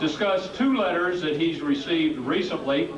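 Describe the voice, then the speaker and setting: Moderate pace, with audible room echo and noticeable background noise. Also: man. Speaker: FBI special agent. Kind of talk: retirement party speech; reading aloud. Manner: loud.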